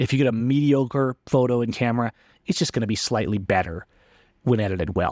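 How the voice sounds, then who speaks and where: In a plain, everyday voice, a man speaks at medium pitch and a fairly quick pace with ordinary pitch variation, in a dry, close sound with no echo against a quiet background. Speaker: photography podcast host. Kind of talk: casual solo podcast talk.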